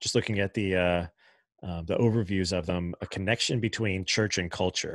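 Against a quiet background, a man with a very deep, low voice talks at a moderate pace in a dry sound with no echo. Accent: American. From Long Island, New York. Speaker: podcast host. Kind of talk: interview conversation; scripted podcast intro and outro. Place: home room.

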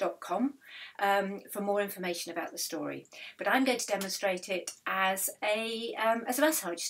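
The reading voice is unforced and shows ordinary pitch variation.

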